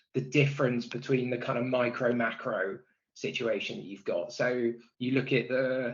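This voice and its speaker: A man of medium pitch speaks with a West Country accent. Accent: West Country twang. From Bristol, West Country England. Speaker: product and technology executive. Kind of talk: podcast interview. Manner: hesitant, many fillers and repeats.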